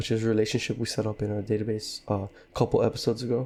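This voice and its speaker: This is a man with a medium-pitched voice. His tone is dark and mellow. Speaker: programmer. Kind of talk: coding tutorial narration.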